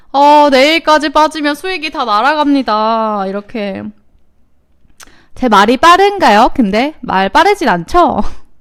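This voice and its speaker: At a very slow pace, a woman speaks in a high pitch with very wide pitch swings. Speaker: stock market show host. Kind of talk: live market commentary with chat interaction. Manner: casual, many fillers.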